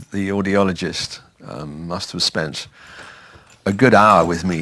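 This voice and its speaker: A man with a southern English accent, very slow in pace and fairly even in intonation. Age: 70s. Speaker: retired man with hearing loss. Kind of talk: testimony.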